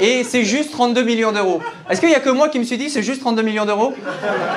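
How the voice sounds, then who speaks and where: There is light background noise as a man speaks at an extremely high pitch with ordinary pitch variation. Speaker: stand-up comedian. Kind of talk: stand-up comedy routine. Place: stage. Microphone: handheld.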